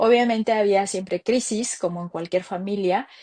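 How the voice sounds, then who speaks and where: A woman talks with fairly high pitch and fairly even intonation. The background is quiet. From Mexico City. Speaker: entrepreneur. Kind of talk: interview. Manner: halting.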